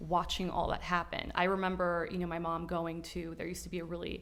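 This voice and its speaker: A fairly low-pitched woman's voice with an American accent and vocal fry, set in audible room echo. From Miami, Florida. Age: 30s. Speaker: Miami lifestyle guest. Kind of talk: casual interview chat.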